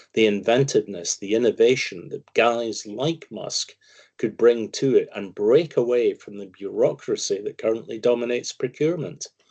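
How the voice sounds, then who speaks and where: The speaker has a Scottish accent and a moderate pace, with big swings in loudness. The sound is dry and close with no echo. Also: man. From Scotland. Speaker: financial commentator, investment firm founder. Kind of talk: interview.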